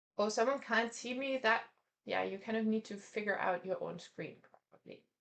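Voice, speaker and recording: A woman with a non-native accent speaks at a moderate pace and a fairly high pitch. Her intonation is lively, with vocal fry. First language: not English. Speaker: art teacher. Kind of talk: online class; guided meditation. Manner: halting.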